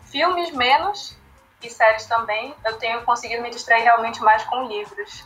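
Over music in the background, the speaker's loudness swings a lot while the pitch varies in an ordinary way. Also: woman. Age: 20s. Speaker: literature educator, founder of a language school project. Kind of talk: casual chat.

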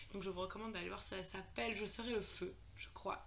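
A woman at a fairly quick pace, with noticeable background noise and audible room echo. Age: 20s. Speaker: medical student. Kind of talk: casual chat.

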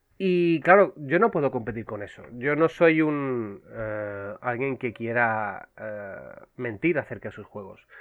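With lively intonation and big swings in loudness, a man talks at a very slow pace with hardly any pauses. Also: medium pitch for a man. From Canary Islands (Las Palmas). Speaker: video game publisher co-founder and marketing director. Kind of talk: casual interview chat.

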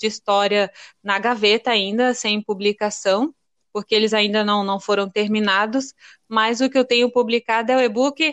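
A woman speaks at a fairly slow pace. Her fairly high voice shows ordinary pitch variation. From Paraná, Brazil (born in Rio Grande do Norte). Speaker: childhood friend, writer. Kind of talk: casual chat.

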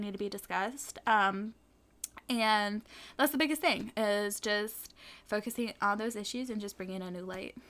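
Recorded very cleanly against a silent background, a woman with an ordinary speaking voice talks at a fairly quick pace, her fairly high pitch showing ordinary variation. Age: young. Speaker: podcast co-host, youth activist. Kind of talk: casual chat. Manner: casual, filler-heavy.

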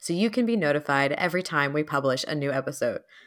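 A woman with an ordinary speaking voice talks at a fairly quick pace with lively intonation, recorded very cleanly against a silent background. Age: 30s. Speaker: podcast co-host. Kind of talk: casual chat.

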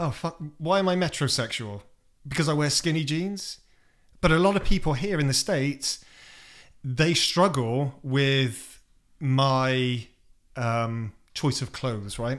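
Speaking with a British accent, the voice has lively intonation and a fairly slow pace with long, frequent pauses. The recording is very clean, with a silent background. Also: man, fairly high pitch for a man. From England. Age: 40s. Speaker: guest, expat DJ. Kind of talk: casual interview chat. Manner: candid, swearing, humorous.

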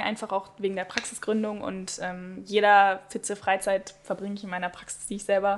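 A woman at a medium pitch talks with hardly any pauses in a monotone, flat intonation, her loudness swinging widely. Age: 20s. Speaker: speech therapist. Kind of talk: casual chat. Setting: studio.

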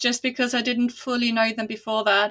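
Her voice is warm in tone and high in pitch. This woman speaks with a non-native accent. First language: not English. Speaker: fantasy author. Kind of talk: casual interview. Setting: remote call across time zones. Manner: warm, laughs often.

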